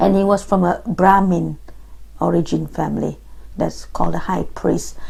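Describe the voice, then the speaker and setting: The pace is moderate, and noticeable background noise can be heard. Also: woman. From Singapore. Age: 50s. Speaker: oral history interviewee. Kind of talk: interview.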